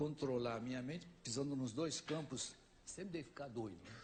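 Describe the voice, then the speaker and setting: A man talks in a somewhat breathy voice. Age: 70s. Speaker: ufologist and author on a talk show. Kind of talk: talk show interview.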